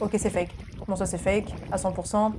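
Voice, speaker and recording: A woman talks in an animated tone while music sounds in the background. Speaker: spiritual content creator reacting to videos. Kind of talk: casual reaction video commentary. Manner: animated, exclamatory.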